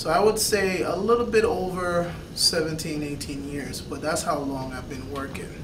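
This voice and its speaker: A man's high voice at a fairly slow pace with hardly any pauses, ordinary pitch variation and noticeable background noise. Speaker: fitness vlogger. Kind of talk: vlog Q&A monologue. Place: office. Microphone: camera far.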